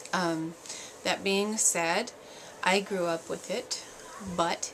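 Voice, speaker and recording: A woman's medium-pitched voice in a monotone, flat intonation, with noticeable background noise. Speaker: parenting vlogger. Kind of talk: casual vlog monologue. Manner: quiet; hesitant, many fillers.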